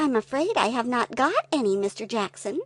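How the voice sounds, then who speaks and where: A woman puts on a character voice. It sits at a high pitch. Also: moderate pace. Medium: read story. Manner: prim, proper.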